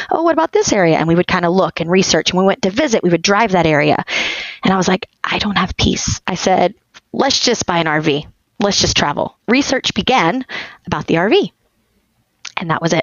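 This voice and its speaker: A woman with a plain, everyday voice speaks in an American accent. Her pace is fairly quick, with lively intonation and very even loudness. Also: medium pitch for a woman. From Texas. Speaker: homeschooling mother of many, dental hygienist. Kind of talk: casual interview chat.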